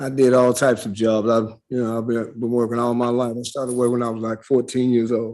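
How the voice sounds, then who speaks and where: Talking very fast, a man with a medium-pitched voice delivers his words in a flat monotone. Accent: Southern US. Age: 60s. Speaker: defendant. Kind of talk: court testimony. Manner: halting.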